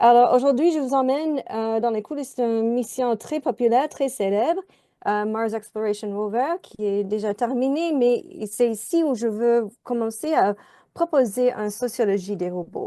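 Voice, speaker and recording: Speaking in an English accent at a fairly slow pace, a woman has a high pitch, a dark, mellow tone and lively intonation against a quiet background. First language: English (speaking French). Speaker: sociologist. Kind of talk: conference presentation.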